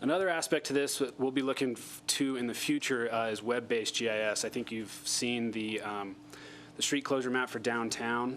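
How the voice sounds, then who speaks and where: The man's voice has a medium pitch and fairly even intonation. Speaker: city public works staff presenter. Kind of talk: staff presentation at public meeting. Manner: fast.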